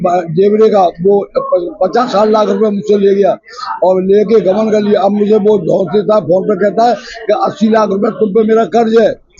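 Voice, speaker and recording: A man's high-pitched voice, fairly even in intonation and very even in loudness, with noticeable background noise. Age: 80s+. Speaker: elderly social worker making complaints. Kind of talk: press conference statement. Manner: halting.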